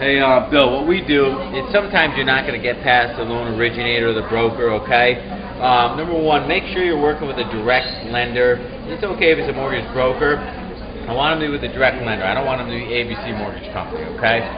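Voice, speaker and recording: Over noticeable background noise and audible room echo, a man talks at a very fast pace in a medium pitch with ordinary pitch variation. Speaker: real estate investing coach. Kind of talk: Q&A video answering viewer questions. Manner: loud.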